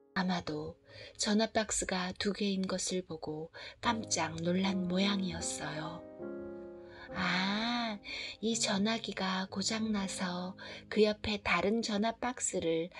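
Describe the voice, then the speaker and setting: A soft-spoken woman at a very slow pace, ordinary pitch variation, music in the background. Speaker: picture book storyteller. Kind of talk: reading aloud.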